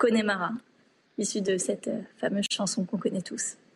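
A woman speaks at a fairly slow pace in a somewhat breathy voice. Her intonation stays fairly even. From Île-de-France. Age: 20s. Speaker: reader, journalism student. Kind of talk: recorded question to author.

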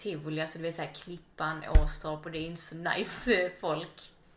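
Delivered at moderate speed, the words carry audible echo from the room. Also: woman. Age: 30s. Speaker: podcast guest. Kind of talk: casual interview chat. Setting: at home.

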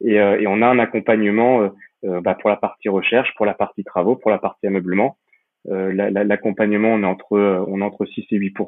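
Fairly quick delivery with fairly even intonation. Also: man. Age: 30s. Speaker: real estate investor and entrepreneur. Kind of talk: interview. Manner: halting, many repetitions and fillers.

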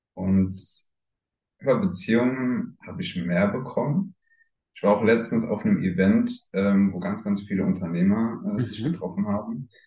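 A man's fairly low voice moves fairly slowly, its pitch shifting in an ordinary way. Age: 20s. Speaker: swinger club owner. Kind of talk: interview.

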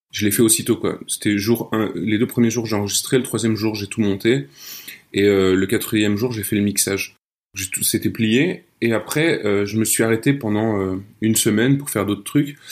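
A man with an unremarkable speaking voice, fairly low in pitch, talks at a moderate speed and varies his pitch in an ordinary way. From France, Nancy. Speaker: audio fiction writer. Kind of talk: casual interview chat. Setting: remote call.

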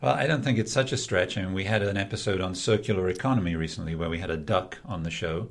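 Very fast and with hardly any pauses, a man talks in a very deep, low pitch with ordinary pitch variation. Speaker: podcast host. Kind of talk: interview podcast. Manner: playful, jokey.

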